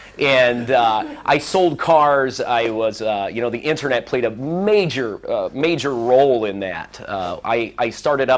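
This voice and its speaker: A man with a Midwestern American accent speaks at medium pitch. His pace is fairly slow. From US Midwest, Central Illinois. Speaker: former car dealership manager giving a speech. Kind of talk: speech to a seminar audience. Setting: seminar room with audience. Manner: deliberately slowed pace.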